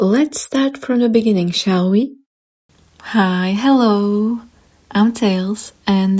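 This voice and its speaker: Very slowly and somewhat breathily, a woman with an Eastern European accent speaks in a dark, mellow tone at a fairly high pitch, keeping ordinary pitch variation and very even loudness. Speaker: YouTuber and artist. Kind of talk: storytime narration. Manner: animated.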